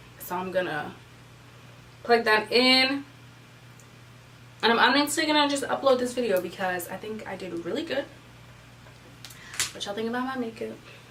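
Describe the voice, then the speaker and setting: A woman's lively intonation, with audible room echo and noticeable background noise. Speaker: beauty vlogger. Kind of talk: casual chat. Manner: fast.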